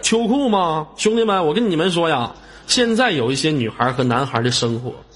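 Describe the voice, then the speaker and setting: His high-pitched voice makes very wide pitch swings as the man speaks. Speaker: live-stream host. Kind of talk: live-stream chat with viewers. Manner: animated.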